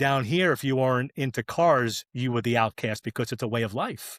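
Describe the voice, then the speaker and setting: A man's normal speaking voice, medium in pitch with ordinary pitch variation, at a moderate pace, in a very clean recording against a silent background. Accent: American. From New York area, US Northeast. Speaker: drag racing clutch specialist. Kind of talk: casual podcast chat.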